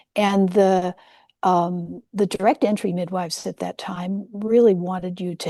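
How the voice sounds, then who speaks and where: A dark, mellow tone comes through dry, close sound with no echo over a quiet background. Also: woman. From US West Coast, San Francisco Peninsula. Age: 70s. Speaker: nurse-midwife and psychedelic historian. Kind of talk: interview.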